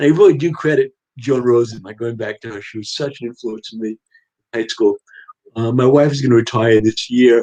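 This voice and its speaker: A man with a New York accent, medium-pitched and dark, mellow in tone, at a fairly quick pace. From Long Island, New York. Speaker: writer. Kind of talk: casual chat.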